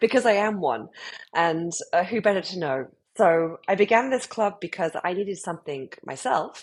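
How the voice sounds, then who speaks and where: Here a woman speaks with a British accent at a medium pitch. Her intonation is lively, and her pace is moderate. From UK. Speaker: club founder. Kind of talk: interview.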